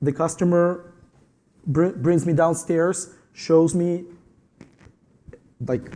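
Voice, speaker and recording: With a Ukrainian accent, a man with a high pitch and a dark, mellow tone talks at a very slow pace in a monotone, flat way, leaving long, frequent pauses. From Ukraine. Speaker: tile installer. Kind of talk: panel discussion.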